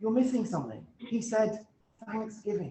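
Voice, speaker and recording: With a British accent, a man talks at a moderate pace. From UK. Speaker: guest speaker, self-improvement author. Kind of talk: talk at a club meeting. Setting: meeting room with Zoom hybrid audience. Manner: halting, frequent repetitions.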